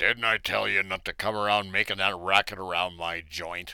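A man speaks in a very deep, low voice at a moderate pace. His intonation is monotone and flat. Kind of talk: 1940s radio acting. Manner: snarling, bullying.

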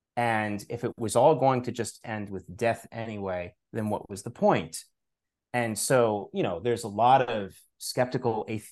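Against a quiet background, a man with an American accent speaks in an ordinary speaking voice at a moderate pace with ordinary pitch variation. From New York, Long Island. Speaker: author and spirituality teacher. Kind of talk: interview conversation.

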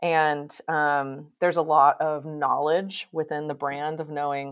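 A woman with an American accent speaks at a very deep, low pitch on a very clean recording with a silent background. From Oklahoma. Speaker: snowboard brand designer. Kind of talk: casual interview. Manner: hesitant, many fillers.

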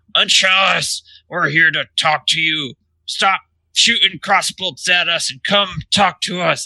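A man shouts in a put-on character voice that is raspy and high-pitched. He speaks at a fairly slow pace with fairly even intonation. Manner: yelling across a distance.

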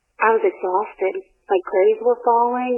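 A woman with a high pitch talks at a moderate pace, her pitch swinging very widely. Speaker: interviewee recounting experience. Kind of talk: testimony. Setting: phone call.

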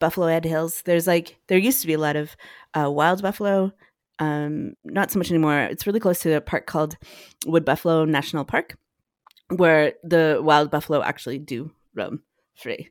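A woman's normal speaking voice at a fairly low pitch with a Canadian accent, ordinary pitch variation and a fairly quick pace, in a very clean recording with a silent background and a dry, close sound with no echo. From northern Alberta, Canada. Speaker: cellist and composer. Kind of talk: casual chat.

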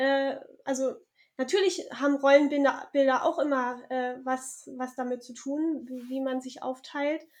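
Her pitch is high for a woman. She speaks at a fairly slow pace. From southern Germany. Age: 30s. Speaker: author and mother activist. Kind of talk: interview. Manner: hesitant with many fillers.

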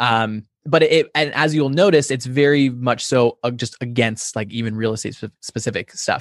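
An unremarkable speaking voice runs on with hardly any pauses and ordinary pitch variation. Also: man, medium pitch for a man, moderate pace, dry, close sound with no echo. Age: 20s. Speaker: real estate YouTube marketing co-founder. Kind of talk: podcast interview.

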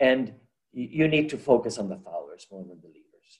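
Dark, mellow tone from a man. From Puerto Rico. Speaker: college president. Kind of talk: interview.

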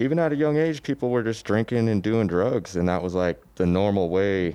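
Here a man speaks with an American accent. His pitch is fairly low and his intonation lively. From Aurora, Colorado. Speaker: fashion designer. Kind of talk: casual chat. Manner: halting.

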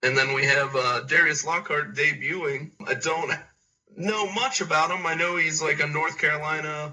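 Speaking at a moderate pace, a man uses an ordinary speaking voice that is fairly high for him, with ordinary pitch variation. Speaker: wrestling commentator. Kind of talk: casual chat.

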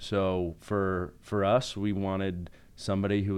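A very deep, low-pitched man with an American accent. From Utah, Salt Lake City. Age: 30s. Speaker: orthodontist and band singer. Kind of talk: casual interview.

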